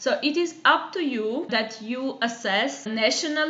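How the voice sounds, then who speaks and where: Over noticeable background noise and audible room echo, a woman speaks with ordinary pitch variation. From Armenia. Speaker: youth work educator. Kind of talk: online course lecture. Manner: hesitant, many filler sounds.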